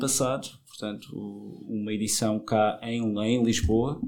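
On a very clean recording with a silent background, a man is heard. His tone is dark and mellow, his intonation fairly even. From Madeira, Portugal. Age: 30s. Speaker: film festival organizer. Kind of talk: casual interview. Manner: halting, many repetitions.

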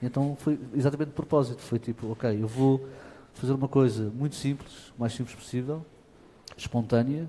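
A man's medium-pitched, somewhat breathy voice in a dark, mellow tone at a moderate pace. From Portugal, Lisbon area. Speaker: fado singer. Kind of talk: interview. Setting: auditorium with audience. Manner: halting.

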